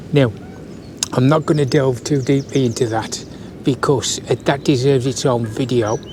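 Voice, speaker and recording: Over noticeable background noise, a man with a West Midlands accent speaks with fairly even intonation. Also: medium pitch for a man, moderate pace. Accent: West Midlands (yam yam). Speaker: YouTuber, army veteran explaining local history. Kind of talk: casual explainer video monologue. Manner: hesitant, many fillers (uh, um).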